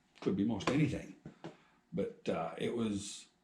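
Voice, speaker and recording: A somewhat breathy, dark, mellow tone with very wide pitch swings and audible room echo. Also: man. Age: 60s. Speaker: farmer and machinist vlogger. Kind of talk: casual storytelling. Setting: outdoors at farm shed. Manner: rambling conversational.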